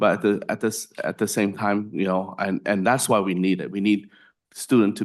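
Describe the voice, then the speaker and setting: A man's fairly low voice with a non-native accent, fairly even intonation and a moderate pace, over a quiet background. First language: not English. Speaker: legislator on commission. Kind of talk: committee hearing comment. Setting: public commission meeting.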